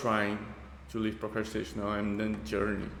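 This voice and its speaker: A man speaks with a Portuguese accent. Room echo is audible. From Brazil. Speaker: YouTuber reacting to videos. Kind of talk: casual reaction commentary. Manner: halting.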